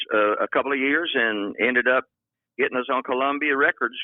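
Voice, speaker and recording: With a Texan accent, a man talks at a medium pitch with ordinary pitch variation. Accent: Texan Southern US. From US South, far south Texas (Rio Grande Valley). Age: 80s+. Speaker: veteran country singer-songwriter. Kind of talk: interview. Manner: casual, energetic.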